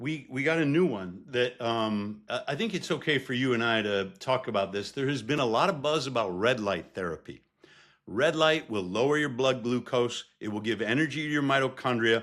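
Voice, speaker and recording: In a normal speaking voice, a man with a medium pitch talks at a moderate pace, his pitch varying in an ordinary way. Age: 50s. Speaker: professor. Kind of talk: casual chat.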